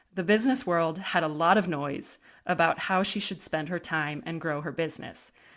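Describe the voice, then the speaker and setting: In a very clean recording with a silent background, a woman speaks at a moderate pace with a fairly low pitch. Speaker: podcast host. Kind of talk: scripted intro then interview chat. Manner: warm, upbeat, enthusiastic.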